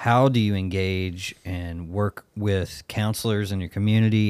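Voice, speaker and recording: Fairly low in pitch, a man with a Southern US accent keeps his intonation fairly even in a very clean recording with a silent background. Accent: Southern US drawl. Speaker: podcast host. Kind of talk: casual podcast conversation.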